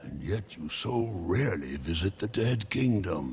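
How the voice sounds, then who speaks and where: Over clear background noise, a man puts on a character voice with a very deep, low pitch, speaking at a moderate pace. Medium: video game. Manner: smooth, cryptic, amused.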